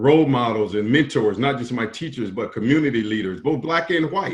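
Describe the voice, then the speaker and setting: Lively intonation marks this man's speech in a South Carolina accent. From US South, rural South Carolina. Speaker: business association executive. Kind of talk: interview.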